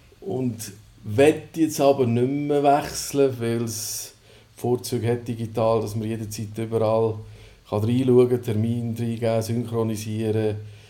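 Noticeable noise sits behind the voice. A man at medium pitch talks fairly slowly with fairly even intonation. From Switzerland, Sursee region (Lucerne). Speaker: newsletter founder and coworking space operator. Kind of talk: casual interview. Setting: coworking space.

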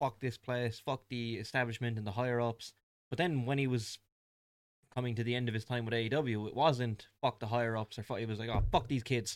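A man at medium pitch, at a fairly quick pace with fairly even intonation. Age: 20s. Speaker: wrestling podcast co-host. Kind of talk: casual chat.

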